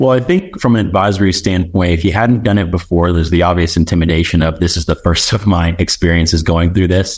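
A man speaks at a very fast pace. His pitch is very deep and low. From Nashville, Tennessee (born in Zimbabwe). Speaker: financial advisor. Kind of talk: podcast interview.

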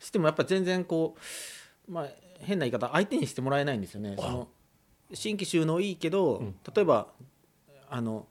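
The voice moves at a fairly quick pace, broken by long, frequent pauses. Its loudness swings widely and its pitch swings very wide. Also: man, fairly high pitch for a man. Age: 40s. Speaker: farmer, former doctor. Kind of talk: radio interview. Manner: hesitant, many fillers.

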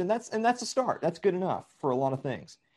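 Against a quiet background, a man with a Southern US accent speaks at a high pitch. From Middle Tennessee. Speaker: podcast guest. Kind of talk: casual chat.

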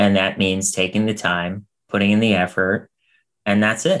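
Speaking at a moderate pace, the man has a plain, everyday voice and a fairly low pitch. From US, Pittsburgh. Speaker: producer and talent manager. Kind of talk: casual interview chat. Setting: video call.

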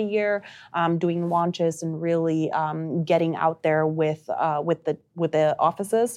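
Against a quiet background, a woman speaks with a Spanish accent. Her pitch is fairly low and her intonation fairly even. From Uruguay. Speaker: marketing director. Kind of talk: casual interview.

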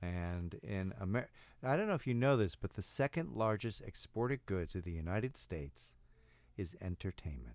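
Over a silent background in a very clean recording, a man with an ordinary speaking voice talks at a moderate pace, fairly low in pitch, with lively intonation. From Chicago. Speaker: improv coach. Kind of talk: casual chat. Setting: studio.

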